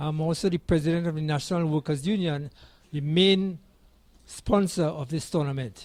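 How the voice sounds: This man's pitch is fairly high. He talks at a moderate pace with fairly even intonation.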